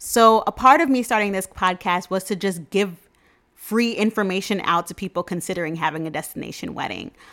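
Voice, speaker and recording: Speaking fairly quickly in a New York accent, a woman uses a medium pitch with ordinary pitch variation. The recording is very clean, with a silent background. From New York City (Queens), Jamaican parents. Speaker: podcast host and travel agent. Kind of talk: casual solo podcast monologue. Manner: upbeat, chatty.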